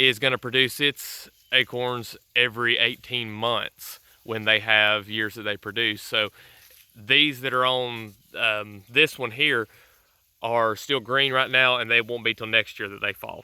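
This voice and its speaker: A man with a Southern US accent at a fairly slow pace, in monotone, flat intonation. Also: medium pitch for a man. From US South. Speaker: homesteader YouTuber. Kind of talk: casual vlog tutorial. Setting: outdoors. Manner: casual with fillers and stammers.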